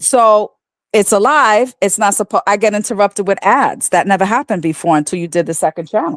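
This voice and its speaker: In an ordinary speaking voice at medium pitch, a woman speaks at a fairly quick pace, the sound dry and close with no echo. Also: ordinary pitch variation. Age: 60s. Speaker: caller on a livestream. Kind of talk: casual chat.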